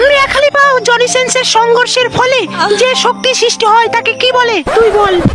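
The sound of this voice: Extremely high in pitch, this is a cartoonish character voice. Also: moderate pace.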